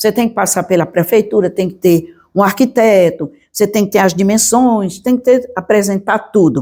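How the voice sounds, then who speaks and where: On a very clean recording with a silent background, a woman with a fairly high pitch and a dark, mellow tone speaks at a moderate pace with lively intonation. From Brazil, Pernambuco (Triunfo). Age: 80s+. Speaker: teacher, historian and writer. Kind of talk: interview.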